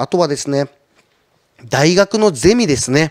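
At a moderate pace and a fairly high pitch, a man speaks against a quiet background, the sound dry with no echo. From Shizuoka, Japan. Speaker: trading company representative. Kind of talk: conference talk. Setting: online seminar. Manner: polite, filler-heavy. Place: studio. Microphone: handheld.

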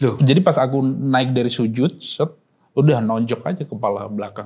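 A man speaks at a moderate pace with ordinary pitch variation and a somewhat breathy voice. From Pati, Central Java, Indonesia; Central Java, Indonesia. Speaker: stand-up comedian. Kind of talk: casual interview chat. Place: studio.

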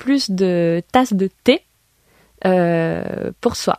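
This woman speaks at a very slow pace in a dark, mellow tone with ordinary pitch variation. The sound is dry with no echo, over a quiet background. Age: 20s. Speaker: board game shop worker; guest. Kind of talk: radio interview. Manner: hesitant, many fillers. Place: studio.

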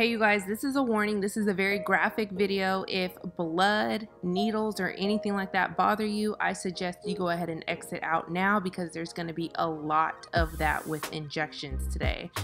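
A woman speaks at a moderate pace with ordinary pitch variation. Faint music plays in the background. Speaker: beauty vlogger. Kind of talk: casual vlog chat. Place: car.

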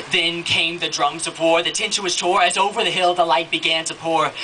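Over light background noise, a man uses a raised, projected voice at a moderate pace. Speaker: spoken word poet. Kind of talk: spoken word poetry performance. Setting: live event. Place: stage. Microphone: handheld.

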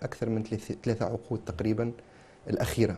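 Dark, mellow tone from a man, at a moderate pace. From Tunisia, Sfax; Tunisia. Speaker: engineer and business consultant, political figure; talk show guest. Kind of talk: TV interview. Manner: animated. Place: studio. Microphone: lapel.

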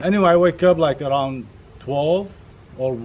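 With light background noise behind him, a man speaks at a moderate pace using ordinary pitch variation. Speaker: vlogger. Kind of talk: casual vlog chat. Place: garden. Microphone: camera far.

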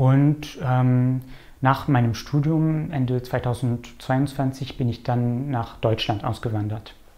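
Here a man with a dark, mellow tone speaks at a very slow pace, medium in pitch and fairly even in intonation. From Canada. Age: 20s. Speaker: librarian. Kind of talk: interview. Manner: hesitant. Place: office. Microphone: lapel.

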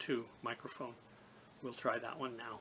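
The voice belongs to a man. Some light noise sits behind him. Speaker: gear reviewer. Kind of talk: review tutorial. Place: home room. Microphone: phone near.

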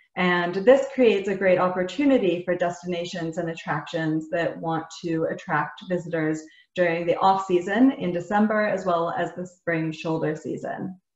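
Over a quiet background with audible room echo, a woman with a fairly low pitch talks at a moderate pace, with ordinary pitch variation and hardly any pauses. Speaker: webinar host. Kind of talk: webinar presentation. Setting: video call. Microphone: webcam.

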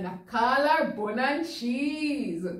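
A woman with a Jamaican accent at a very slow pace, with audible room echo and a quiet background. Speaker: news reader. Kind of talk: dialect poetry reading for children. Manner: comedic, performed. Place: studio.

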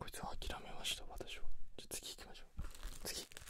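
A soft-spoken, whispering man at a moderate pace, with loud background noise and a dry sound with no echo. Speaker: ASMR creator. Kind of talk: soft casual ASMR chat. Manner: soft close-mic ASMR whisper.

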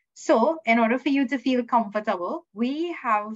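A woman's lively intonation against a quiet background. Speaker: student services manager hosting orientation. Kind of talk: welcome address. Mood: warm, welcoming. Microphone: video call.

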